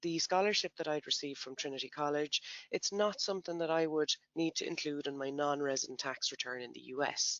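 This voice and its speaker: A man with an Irish accent, fairly high pitch, ordinary pitch variation and a very fast pace. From Ireland. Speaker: tax software company presenter. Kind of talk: educational webinar presentation. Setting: online webinar.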